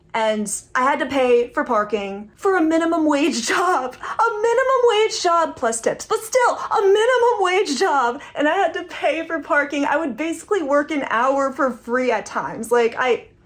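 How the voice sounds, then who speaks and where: A woman's high, animated voice with very wide pitch swings, moderate pace, hardly any pauses, and noticeable background noise. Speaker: comedian and former barista. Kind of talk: online stand-up monologue. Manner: casual, animated.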